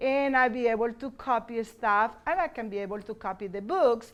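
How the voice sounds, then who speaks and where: A Spanish accent is heard. The speech moves at a moderate pace. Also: woman. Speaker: bilingual teacher. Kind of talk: conference presentation. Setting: conference session with audience. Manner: halting.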